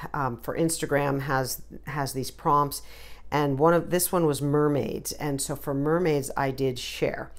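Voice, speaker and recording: A woman with an American accent speaks at a very slow pace, with audible room echo around her voice. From New Jersey. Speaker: watercolor artist. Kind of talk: tutorial. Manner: casual, hesitant with many fillers.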